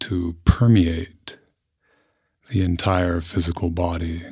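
A man with a very deep, low pitch speaks at a fairly slow pace in a calm, soothing tone, somewhat breathy and with fairly even intonation. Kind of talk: guided meditation. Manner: slow, calm, soothing, with long pauses between gentle instructions; soft-spoken, measured and unhurried.

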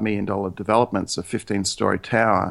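In an Australian accent, a man with a fairly low voice talks at a fairly quick pace in a flat monotone. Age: 50s. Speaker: real estate agent. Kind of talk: interview. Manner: hesitant, repeats words.

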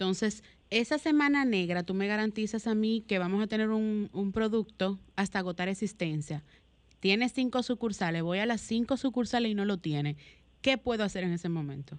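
A woman talks at a moderate pace in a plain, everyday voice, with medium pitch and ordinary pitch variation. The background is quiet. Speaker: radio co-host. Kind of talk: radio talk show. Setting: home.

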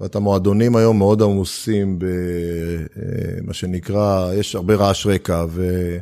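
A man talks at a very slow pace with hardly any pauses. His very deep, low voice stays monotone and flat. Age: 50s. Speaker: startup investor and accelerator founder. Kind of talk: interview conversation.

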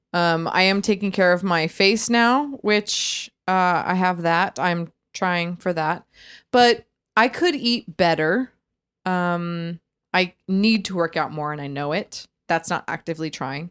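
A plain, everyday voice moves at a fairly slow pace with ordinary pitch variation over a very clean recording with a silent background. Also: woman, fairly low pitch for a woman. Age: 30s. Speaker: podcast co-host. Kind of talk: casual chat.

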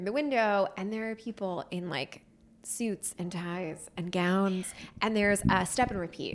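A woman's plain, everyday voice at a fairly slow pace, with ordinary pitch variation, in a very clean recording with a silent background. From US Northeast, Pennsylvania near Philadelphia. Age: 30s. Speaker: screenwriter and actress. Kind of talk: casual interview chat.

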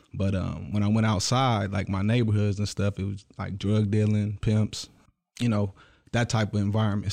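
In a very clean recording with a silent background, a man with an American accent talks at a moderate pace in a dark, mellow tone and a fairly low pitch. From Michigan, Detroit area. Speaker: actor, musician and entrepreneur. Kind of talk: casual interview. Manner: halting, many fillers.

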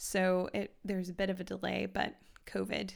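At a moderate pace, a woman talks in a Midwestern American accent on a very clean recording with a silent background. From US Midwest, Kansas City, Missouri. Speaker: podcast host. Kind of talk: casual chat.

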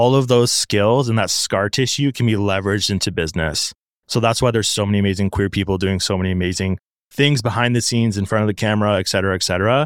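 On a very clean recording with a silent background, a man with a Canadian accent talks very fast at a fairly low pitch, his loudness very even and his pitch varying in an ordinary way. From Ontario, Canada. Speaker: TikTok creator and agency founder. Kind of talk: casual interview chat.

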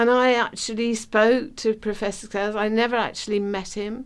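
A woman talks at a moderate pace with a medium pitch. Her intonation is fairly even.

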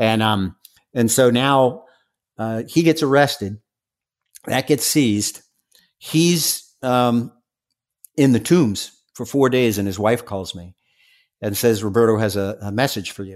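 On a very clean recording with a silent background, a man of medium pitch talks at a fairly slow pace with ordinary pitch variation, long, frequent pauses and big swings in loudness. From New York, Staten Island. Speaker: former drug enforcement undercover agent. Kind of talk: interview.

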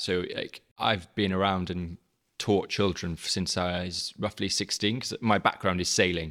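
A man with a South Wales Valleys accent speaks in a very deep, low pitch with fairly even intonation. The recording is very clean, with a silent background. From South Wales, the Valleys. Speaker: teacher, head of digital learning. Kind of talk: casual interview.

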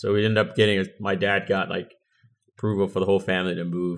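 Very fast and fairly even in intonation, a man speaks with a very deep, low pitch in an American accent. The recording is very clean, the background silent. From Angola, then raised in the US. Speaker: Air Force veteran. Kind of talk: casual interview.

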